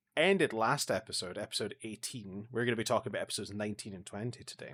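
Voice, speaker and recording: Speaking with a Scottish accent, a man has a medium pitch, fairly even intonation and a bright, sharp tone. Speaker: podcast co-host. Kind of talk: casual chat.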